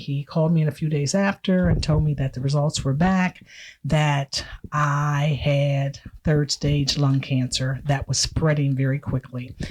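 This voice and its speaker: A woman's very deep, low voice, somewhat breathy with fairly even intonation and very even loudness, comes through on a very clean recording with a silent background. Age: 60s. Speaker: retired cosmetology educator and cancer survivor. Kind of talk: personal testimony in casual chat. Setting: video podcast recording.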